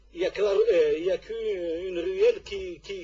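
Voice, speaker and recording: A man's voice amid noticeable background noise. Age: 60s. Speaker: football club president. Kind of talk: radio interview. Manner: halting.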